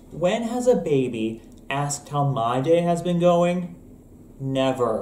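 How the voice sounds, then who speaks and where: A man speaks at a very slow pace in a high voice. Audible echo fills the room around him. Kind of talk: comedic sketch dialogue. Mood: playful, grumpy misanthropic humor. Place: kitchen. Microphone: webcam.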